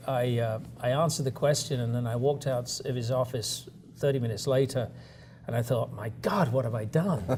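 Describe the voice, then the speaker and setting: Speaking at a moderate pace, a man has an American accent. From south-east England (Kent). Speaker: company chief executive. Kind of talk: interview.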